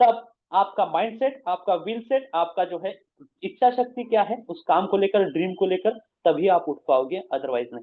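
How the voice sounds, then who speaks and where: Here a man speaks with a Marathi accent. His pitch is high and his intonation lively. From Maharashtra, India. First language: Marathi (speaking Hindi). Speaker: business presenter. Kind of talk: motivational talk. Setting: video call.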